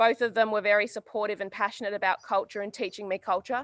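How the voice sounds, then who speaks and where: In a dry, close recording with no echo, a woman with an Australian accent talks fairly quickly at a fairly high pitch in a monotone, flat intonation. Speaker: community worker. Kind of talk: community address.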